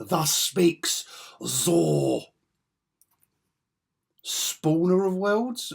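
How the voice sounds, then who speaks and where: A raspy, put-on character voice at middle pitch. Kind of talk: mock archaic proclamation. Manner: pompous, grandiose.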